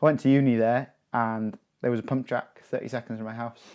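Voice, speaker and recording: Very fast speech from a man with medium pitch and monotone, flat intonation, in a quiet background. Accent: North Welsh. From North Wales, rural area near Betws y Coed. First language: Welsh. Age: 20s. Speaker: professional mountain biker. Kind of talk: casual chat.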